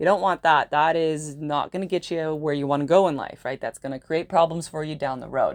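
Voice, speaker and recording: A woman with a very deep, low pitch, talking at a fairly quick pace with hardly any pauses and big swings in loudness, against a quiet background. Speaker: astrologer. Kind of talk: monologue video. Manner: fast; animated.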